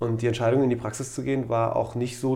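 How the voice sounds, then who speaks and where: A man's medium-pitched, somewhat breathy voice with a dark, mellow tone and monotone, flat intonation, plus audible room echo. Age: 40s. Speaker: doctor, orthopedic surgeon. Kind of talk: casual chat.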